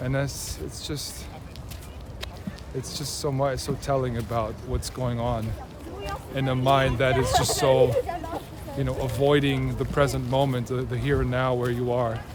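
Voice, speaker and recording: Over noticeable background noise and audible room echo, a man with a slight non-native accent speaks at a fairly slow pace with long, frequent pauses. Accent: slightly American-tinged non-native English. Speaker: mentor and video creator. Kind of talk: casual personal monologue. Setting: outdoors in a park. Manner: hesitant, many fillers and restarts.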